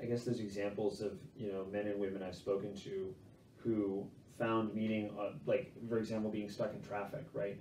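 A man speaks at a moderate pace with a fairly low pitch. Light background noise and audible room echo are present. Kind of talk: interview answer. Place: home room. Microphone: camera far.

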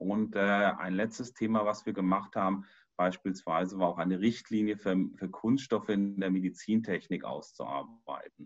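Over a quiet background, a man talks at a fairly slow pace in a fairly low pitch. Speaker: professor presenting himself. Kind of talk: presentation to online meeting. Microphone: video call.

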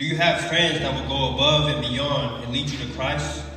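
A man talks with a bright, sharp tone at a medium pitch. Strong room echo surrounds his voice.

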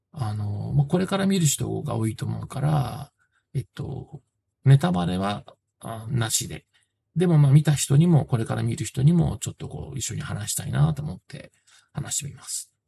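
Light background noise sits behind a man whose dark, mellow, somewhat breathy voice shows big swings in loudness. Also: moderate pace. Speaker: film reviewer. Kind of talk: casual film review talk. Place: home room. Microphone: phone near.

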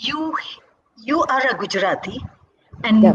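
Noticeable background noise beneath a woman's high voice at a moderate pace. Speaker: interviewer and dance teacher. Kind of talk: interview. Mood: warm, respectful. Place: home room. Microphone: video call.

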